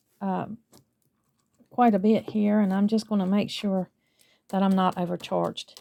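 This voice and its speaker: This woman has a Southern US accent and a medium pitch. Her tone is dark and mellow. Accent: southern US, drawn out. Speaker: lifestyle vlogger. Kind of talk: casual vlog chat.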